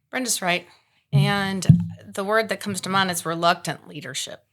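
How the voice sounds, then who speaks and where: A woman talks loud and at a fairly quick pace. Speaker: real estate professional, past association president. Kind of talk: panel discussion.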